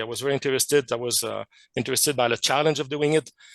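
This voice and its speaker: Fairly even intonation carries a man's French Canadian accent. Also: dry, close sound with no echo. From Quebec, Canada. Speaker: chemist and amateur radio researcher. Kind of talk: technical presentation. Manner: hesitant, many fillers.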